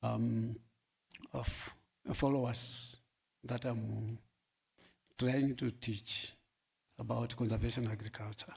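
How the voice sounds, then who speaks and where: A somewhat breathy man at medium pitch, speaking at a very slow pace. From Namibia, Kavango East. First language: local Namibian language. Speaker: farmer. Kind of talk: workshop panel talk. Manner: halting, many fillers.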